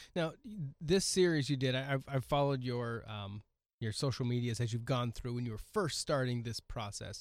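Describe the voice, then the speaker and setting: In a plain, everyday voice with an American accent, a man of medium pitch speaks at a moderate pace with ordinary pitch variation, on a very clean recording with a silent background. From US Pacific Northwest, Oregon coast. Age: 40s. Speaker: podcast host. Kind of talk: casual interview chat. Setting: studio.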